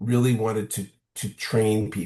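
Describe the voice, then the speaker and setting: A man's somewhat breathy, moderately paced speech over a quiet background. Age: 60s. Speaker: social scientist and workshop trainer. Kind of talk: interview conversation. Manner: halting with repetitions.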